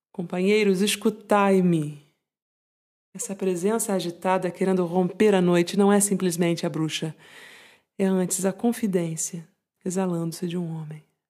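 A woman with a Brazilian accent speaks at a medium pitch in a warm, soothing, dark and mellow tone, leaving long, frequent pauses. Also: fairly even intonation. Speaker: podcast host and poem reader. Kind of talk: poetry reading aloud, intimate and contemplative, in a hushed bedtime-tea tone. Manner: slow, soft-spoken, measured, with lingering pauses and tender, melancholic emphasis; warm, soothing and confiding, like a calming companion.

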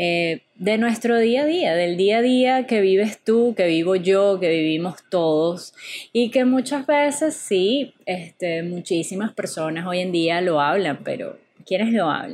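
Speaking in a Venezuelan accent, a woman talks at a very slow pace. Her intonation is lively. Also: medium pitch for a woman. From Venezuela, Caracas. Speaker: podcast host. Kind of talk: casual monologue. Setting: home apartment. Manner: animated.

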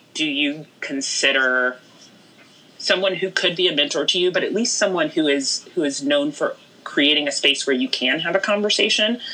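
With an American accent, a woman speaks at a moderate pace and with lively intonation, against noticeable background noise. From Houston, Texas. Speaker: news executive. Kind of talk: casual interview.

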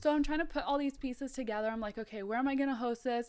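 A woman speaks in a high pitch with a Californian accent. The recording is very clean, with a silent background. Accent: Californian American. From US West Coast, Mountain View, California (born South Africa). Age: 20s. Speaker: nutrition coach and store manager. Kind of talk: casual chat.

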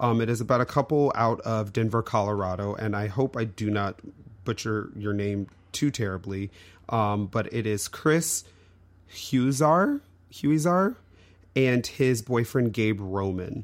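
On a very clean recording with a silent background, a man with a normal speaking voice talks at a fairly slow pace, with a medium pitch and ordinary pitch variation. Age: middle-aged. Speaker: podcast co-host. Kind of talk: casual chat.

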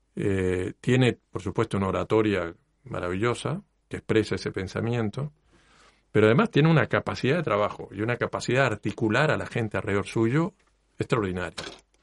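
A man talks fairly quickly in an ordinary speaking voice at medium pitch with ordinary pitch variation. The sound is dry and close with no echo, over a quiet background. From Mexico, then Cuba. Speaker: university lecturer and engineer. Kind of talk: interview. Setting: radio studio.

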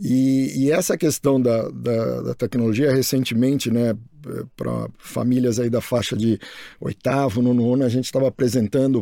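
At a moderate pace, a man with a medium-pitched voice and a dark, mellow tone keeps his intonation fairly even. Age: 50s. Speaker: school director, biologist. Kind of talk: casual chat. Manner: halting, repeats words.

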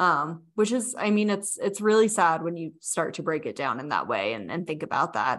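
Hardly pausing, the voice swings very widely in pitch and carries vocal fry. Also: woman, fairly low pitch for a woman, moderate pace, quiet background. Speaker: podcast co-host and health startup co-founder. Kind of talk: conversational explainer about research.

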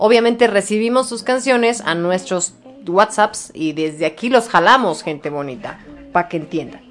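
A woman's medium-pitched, animated voice with lively intonation at a moderate pace, over noticeable background noise. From Mexico City. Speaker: radio show host. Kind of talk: casual radio chat.

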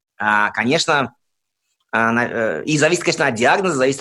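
Recorded very cleanly against a silent background, a man at a medium pitch speaks at a moderate pace with lively intonation. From Soviet Union. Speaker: interviewee with psychiatric diagnoses. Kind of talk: interview testimony. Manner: halting, with self-repetitions.

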